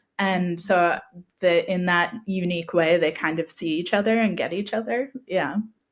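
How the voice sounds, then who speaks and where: A woman in an American accent speaks at a moderate pace, her fairly low pitch showing ordinary variation. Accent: American, somewhat shifted from hometown. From US Northeast, Connecticut. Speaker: author. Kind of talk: interview.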